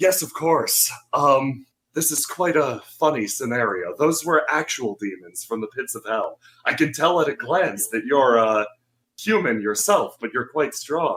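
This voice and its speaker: Using a put-on character voice, a man speaks breathily at a moderate pace with a fairly high pitch and lively intonation. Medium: actual play. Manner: courteous, mildly wry.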